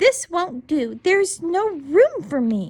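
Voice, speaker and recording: A woman puts on a squeaky character voice pitched extremely high. She speaks at a fairly slow pace with very wide pitch swings. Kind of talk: bedtime story. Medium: read story.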